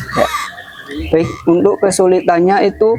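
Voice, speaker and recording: Recorded with a dry, close sound and no echo, a man speaks in a high pitch. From Kudus, Central Java, Indonesia. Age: 20s. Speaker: young craftsman. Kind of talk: interview. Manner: casual.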